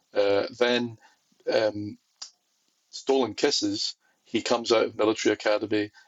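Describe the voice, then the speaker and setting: A man with a Scottish accent speaks at a moderate pace, leaving long, frequent pauses. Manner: casual, hesitant, with fillers.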